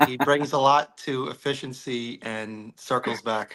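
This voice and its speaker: A man speaks at a fairly slow pace with a New York accent. His tone is bright and sharp, and his intonation stays fairly even. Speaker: novelist. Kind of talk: casual chat.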